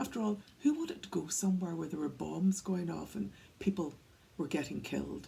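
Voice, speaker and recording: With a Northern Irish accent, a woman talks at a fairly quick pace. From Northern Ireland, County Antrim. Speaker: workplace wellbeing speaker. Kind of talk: talk to camera, storytelling. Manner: conversational.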